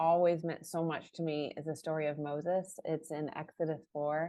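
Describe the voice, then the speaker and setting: This woman has a normal speaking voice, fairly low in pitch, and talks at a moderate pace. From US Midwest, Chicago area. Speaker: author and church marketing director. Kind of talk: interview.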